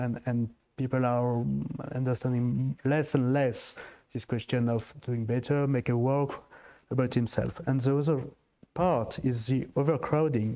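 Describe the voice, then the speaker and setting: The voice has a dark, mellow tone. It carries a French accent. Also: man. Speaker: diplomat. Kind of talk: panel discussion. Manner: halting.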